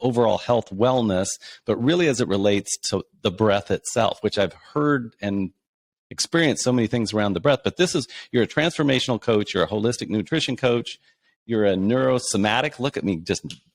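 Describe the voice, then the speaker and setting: A man with an American accent speaks at a fairly quick pace in an unremarkable speaking voice, medium in pitch with lively intonation. The sound is dry and close with no echo, and the recording is very clean against a silent background. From Kansas, USA. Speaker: podcast host. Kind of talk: podcast interview host.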